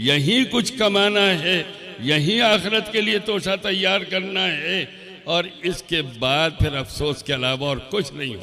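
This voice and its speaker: A man speaks in a high pitch with lively intonation. Noticeable background noise and audible room echo fill the recording. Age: 80s+. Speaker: Islamic scholar. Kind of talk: sermon.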